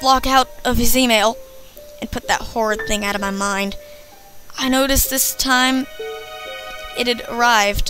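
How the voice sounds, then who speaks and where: In an American accent and a raised, projected voice, the speaker uses a dramatic tone at a moderate pace, with ordinary pitch variation and long, frequent pauses over music in the background. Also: woman. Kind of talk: creepypasta horror story reading.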